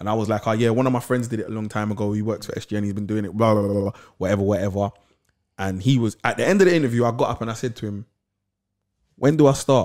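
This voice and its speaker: With a London accent, this very fast speaker shows ordinary pitch variation and big swings in loudness, recorded very cleanly against a silent background. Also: man, fairly low pitch for a man. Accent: London Multicultural English. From south London. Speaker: podcast co-host. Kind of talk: casual interview chat.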